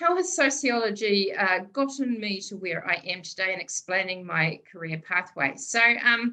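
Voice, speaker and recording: A woman with a Southland New Zealand accent talks at a moderate pace, with hardly any pauses. Her medium-pitched voice has a bright, sharp tone and lively intonation. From New Zealand, Southland. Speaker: public servant and sociologist. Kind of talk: seminar talk. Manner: informal, hesitant with fillers.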